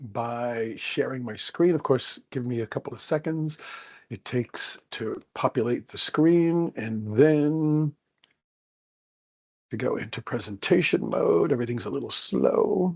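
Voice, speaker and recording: With an American accent, a man talks at a fairly slow pace and a fairly high pitch. His intonation is lively, and his loudness swings widely. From United States. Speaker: organizational psychologist, workshop presenter. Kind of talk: webinar presentation.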